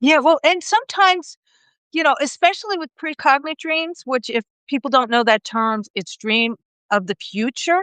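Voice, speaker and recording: A woman talks in a high voice at a moderate pace. Her pitch swings very widely. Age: 60s. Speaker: dream interpreter. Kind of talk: casual chat. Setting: live video stream.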